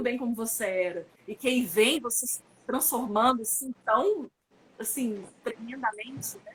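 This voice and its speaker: Speaking at a moderate pace, a woman has a high-pitched voice. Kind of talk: online conference talk. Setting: online live stream.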